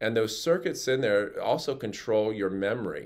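A man speaks with ordinary pitch variation. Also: quiet background. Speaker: health educator. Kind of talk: educational talk to camera. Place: office. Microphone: phone near.

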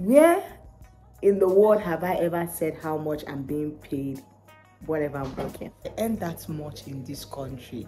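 Faint music sits in the background as a woman speaks at a fairly slow pace with a very deep, low pitch. Her loudness swings widely while her pitch varies in an ordinary way. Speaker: care worker vlogger. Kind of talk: casual vlog chat. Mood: animated, laughing, exasperated. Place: office. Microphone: phone near.

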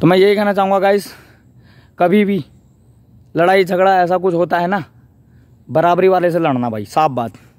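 Speaking fairly slowly with long, frequent pauses, a man uses a high voice with ordinary pitch variation. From Uttarakhand, Pauri Garhwal. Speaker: vlogger. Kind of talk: vlog monologue. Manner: animated.

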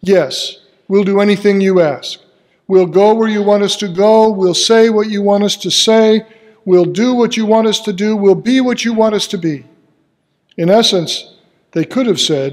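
Against a quiet background, a man with a high pitch speaks at a moderate pace with ordinary pitch variation. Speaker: pastor. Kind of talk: sermon. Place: church.

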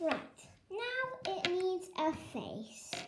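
Against light background noise, a woman speaks at a very slow pace with lively intonation. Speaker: craft demonstrator. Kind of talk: tutorial. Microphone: phone near.

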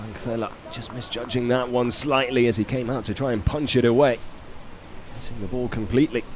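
Talking at a fairly quick pace with fairly even intonation, a man uses a medium pitch amid noticeable background noise. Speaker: football commentator. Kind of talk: live play-by-play football commentary, calm and measured. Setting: stadium commentary position.

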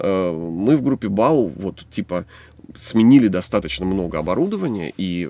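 A man speaks with vocal fry and very wide pitch swings. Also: dry sound with no echo. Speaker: songwriter and band musician. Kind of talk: casual chat. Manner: fast. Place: studio.

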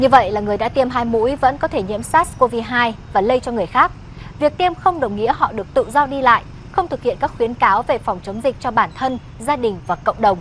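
Over noticeable background noise, a woman with a high pitch talks at a fairly quick pace with lively intonation. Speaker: news reader. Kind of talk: news reading. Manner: formal.

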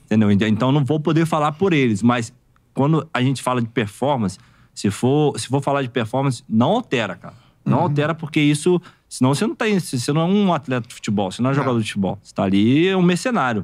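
Against a quiet background, a man talks very fast at a fairly high pitch, his intonation lively. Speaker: former professional footballer; guest. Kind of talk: casual podcast interview. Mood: frank, critical. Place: studio. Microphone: studio mic.

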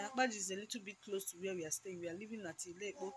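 With ordinary pitch variation and a medium pitch, a woman's somewhat breathy voice carries through. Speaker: mom vlogger. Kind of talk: casual vlog to camera.

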